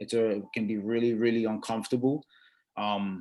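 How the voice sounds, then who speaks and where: A man with an American accent. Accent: Brooklyn and Dominican. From Brooklyn, New York, Dominican family. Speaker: sports industry executive. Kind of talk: panel discussion. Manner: halting, many repeated words.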